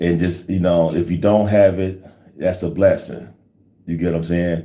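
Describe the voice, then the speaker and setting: Audible room echo carries a man's very deep, low voice, dark and mellow in tone and monotone, flat in intonation. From Ohio, US. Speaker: online faith livestreamer. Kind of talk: casual livestream chat with prayer. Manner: halting, many fillers.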